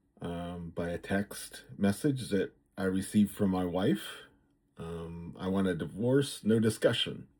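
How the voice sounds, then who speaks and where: In a very clean recording with a silent background, a man speaks at a fairly slow pace in a fairly low pitch with ordinary pitch variation. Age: 60s. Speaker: vlogger. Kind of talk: personal vlog monologue. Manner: halting, many fillers.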